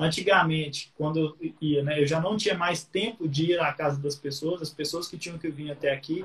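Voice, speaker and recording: Over noticeable background noise, a man with a fairly high pitch talks at a moderate pace with hardly any pauses and fairly even intonation. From Minas Gerais, Brazil (Patos de Minas). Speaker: guitar teacher. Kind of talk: casual interview.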